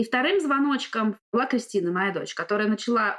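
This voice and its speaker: A woman speaks in a normal speaking voice at a moderate pace. Her pitch varies in an ordinary way. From Russia. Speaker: driving instructor. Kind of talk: casual interview.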